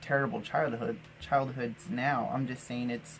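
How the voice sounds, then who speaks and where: Over noticeable background noise, a man with an American accent speaks at a moderate pace and medium pitch. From Arizona, US Southwest. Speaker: vlogger. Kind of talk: personal storytelling monologue. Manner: casual with many fillers and restarts.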